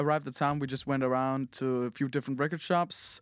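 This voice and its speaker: A man is speaking. He has a Danish accent. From Denmark. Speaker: podcast host. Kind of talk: casual chat. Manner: halting, many fillers.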